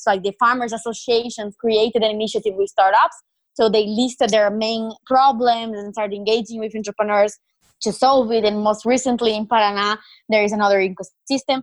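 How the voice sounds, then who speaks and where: A woman with a Brazilian accent talks at a fairly quick pace and a fairly high pitch, in a monotone, flat intonation. The sound is dry and close with no echo. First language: Portuguese. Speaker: startup founder and CEO. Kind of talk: interview answers.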